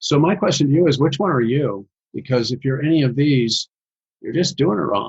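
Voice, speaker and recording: In an American accent, a somewhat breathy man talks at a fairly quick pace with fairly high pitch and lively intonation. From US Midwest. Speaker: social media marketing business owner. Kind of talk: podcast interview. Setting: podcast recording. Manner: fast.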